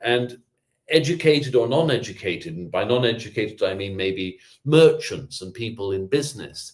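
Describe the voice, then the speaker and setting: A man's medium-pitched voice moves with lively intonation. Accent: British. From England. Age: 50s. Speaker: public historian. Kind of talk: lecture. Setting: video call. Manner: fast.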